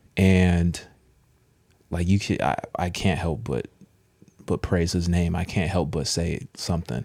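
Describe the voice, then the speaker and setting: With a very deep, low pitch and vocal fry, a man speaks at a fairly slow pace with ordinary pitch variation and long, frequent pauses. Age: young. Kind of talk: casual chat. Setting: studio.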